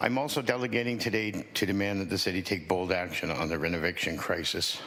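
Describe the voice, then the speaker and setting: Very fast and lively in intonation, a man speaks at a very deep, low pitch. Audible room echo and noticeable background noise come through. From Hamilton, Ontario, Canada. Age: 60s. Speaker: tenant activist. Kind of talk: prepared testimony. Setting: city council committee meeting. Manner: formal.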